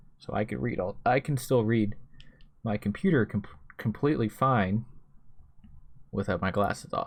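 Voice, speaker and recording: This man's voice carries vocal fry. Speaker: YouTuber, night-shift worker. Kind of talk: personal vlog monologue.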